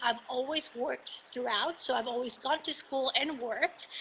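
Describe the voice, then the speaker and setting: Noticeable background noise accompanies a woman speaking in a Spanish accent at a fairly quick pace. Her voice is high, with fairly even intonation. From Argentina. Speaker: magistrate judge. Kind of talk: panel talk.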